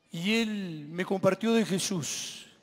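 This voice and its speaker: The man's pitch is high and his intonation fairly even. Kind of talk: testimony to a live audience. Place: stage. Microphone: handheld.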